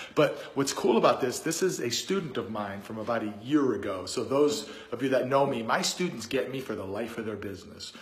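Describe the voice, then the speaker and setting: Through audible room echo, a man with a medium pitch talks at a moderate pace with lively intonation. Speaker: real estate investor and coach. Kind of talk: casual vlog talk to camera. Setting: indoors in a rental unit. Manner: conversational, with many fillers.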